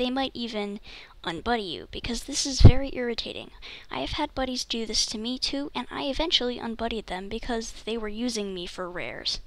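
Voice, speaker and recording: The pace of this voice runs fairly quick. Its delivery is soft-spoken. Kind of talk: casual gameplay tips voiceover.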